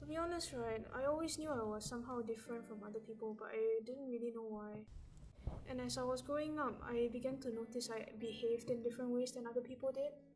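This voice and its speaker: The speech is very fast, with fairly even intonation. Noticeable background noise can be heard. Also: woman, fairly high pitch for a woman. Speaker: scholarship recipient. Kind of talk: personal testimony talk. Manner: halting, repeats words.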